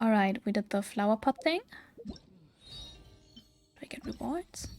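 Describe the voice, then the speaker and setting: A woman with a non-native accent and a fairly high voice, lively intonation and a moderate pace, over music in the background. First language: not English. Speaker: VTuber game streamer. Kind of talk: casual gameplay livestream chat. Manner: hesitant, many fillers.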